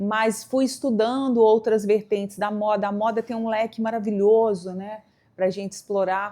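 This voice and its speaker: At a moderate pace, a woman with a mineiro accent speaks in a monotone, flat intonation. Her voice is fairly high. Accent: mineiro accent, keeps it. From Brazil, Minas Gerais (São Gotardo, interior). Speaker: fashion communicator, stylist. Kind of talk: interview, personal storytelling.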